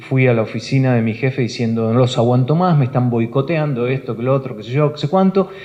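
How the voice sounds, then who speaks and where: The man's voice sits at a medium pitch with ordinary variation, moving at a very fast pace. Noticeable background noise runs underneath. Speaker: broadcaster and news anchor for international networks. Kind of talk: talk to a live audience at a professional union hall. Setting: auditorium, live talk.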